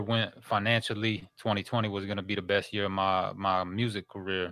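A man with an ordinary speaking voice, fairly low pitch and a moderate pace, in a very clean recording with a silent background. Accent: American. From Minneapolis, Minnesota. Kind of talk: interview.

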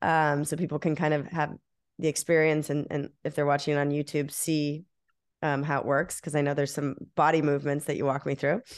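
Over a quiet background, a woman with a very deep, low pitch talks in a warm, enthusiastic tone. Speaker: podcast host. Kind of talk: interview conversation. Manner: warm, enthusiastic, laughs often.

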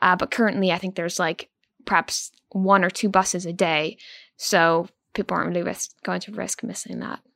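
A woman's medium-pitched, bright and sharp voice with vocal fry, at a moderate pace, her loudness swinging widely, in a dry, close, echo-free and very clean recording with a silent background. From Prince Edward Island, Canada. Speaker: newspaper reporter. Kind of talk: interview.

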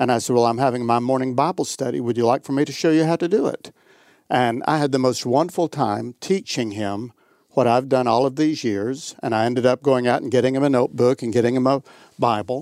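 This man has an unremarkable speaking voice at a medium pitch, with ordinary pitch variation. He speaks at a fairly quick pace on a very clean recording with a silent background. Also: dry, close sound with no echo. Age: 60s. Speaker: pastor. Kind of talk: casual chat. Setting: studio.

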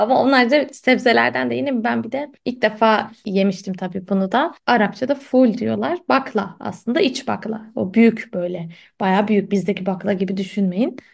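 A woman's medium-pitched voice with vocal fry and lively intonation, at a moderate pace with hardly any pauses, against a quiet background. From Istanbul, Turkey. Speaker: literature podcast host. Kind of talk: casual chat. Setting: remote call.

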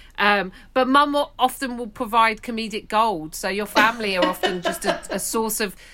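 Speaking with a London accent at a moderate pace, a woman uses a fairly high pitch, a bright, sharp tone and ordinary pitch variation. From West London. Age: 40s. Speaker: stand-up comedian. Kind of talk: casual chat.

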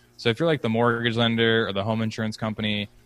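A man with an American accent and fairly low pitch at a very fast pace, music in the background. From Philadelphia, US. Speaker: startup founder. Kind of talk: casual interview.

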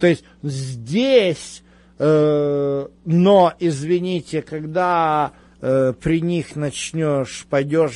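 Ordinary pitch variation marks this man's fairly high voice. The background is quiet. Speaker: Bible teacher. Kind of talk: religious teaching Q&A. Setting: live radio broadcast.

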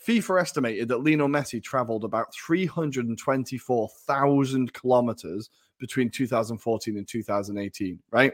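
With an English accent, a man speaks fairly quickly in a medium pitch with hardly any pauses, the sound dry and close with no echo. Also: ordinary pitch variation. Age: 30s. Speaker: football podcast co-host. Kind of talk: casual chat.

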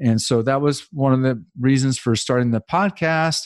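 A man with an ordinary speaking voice talks at a moderate pace, his pitch medium and its variation ordinary, on a very clean recording with a silent background. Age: 50s. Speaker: real estate investor and loan trader. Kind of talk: casual interview.

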